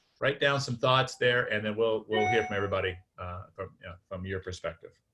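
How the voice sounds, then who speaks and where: A man's fairly low-pitched voice at a fairly quick pace, with music in the background. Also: ordinary pitch variation, big swings in loudness. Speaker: workshop facilitator. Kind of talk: facilitated group discussion. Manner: fast; halting, many fillers.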